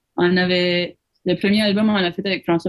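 The woman's pitch is fairly low. Her intonation stays fairly even. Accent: New Brunswick Acadian. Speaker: musician. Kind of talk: interview. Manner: mixes English into French.

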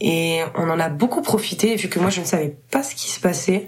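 A woman speaks at a fairly low pitch with ordinary pitch variation. Noticeable noise sits in the background. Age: 20s. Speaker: musician. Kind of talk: casual chat.

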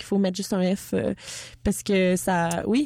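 A woman with a Quebec accent speaks in a dark, mellow tone in a very clean recording with a silent background. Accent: Québécois French. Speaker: radio host. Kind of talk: interview. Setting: studio.

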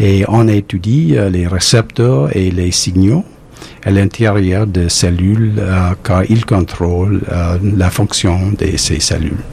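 Amid noticeable background noise, a man with an English accent speaks very slowly in a very deep, low pitch with ordinary pitch variation. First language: English (speaking French). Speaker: immunology professor and cancer researcher. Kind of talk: recorded interview. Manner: halting.

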